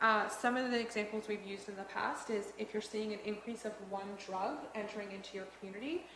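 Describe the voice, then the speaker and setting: A woman at a fairly quick pace, fairly high in pitch with ordinary pitch variation, in audible room echo. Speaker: police board trainer. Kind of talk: training presentation. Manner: fast.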